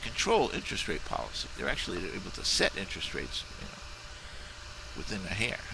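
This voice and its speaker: Here a man talks at a very fast pace. Noticeable background noise can be heard. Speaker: video blogger on monetary reform. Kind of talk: casual video response monologue. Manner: fast and loud; halting, many restarts and fillers.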